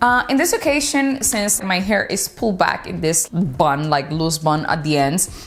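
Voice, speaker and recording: Fairly slow speech in a Dominican accent, with very wide pitch swings and noticeable background noise. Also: woman, medium pitch for a woman. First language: Spanish. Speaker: beauty vlogger. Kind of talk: product review vlog.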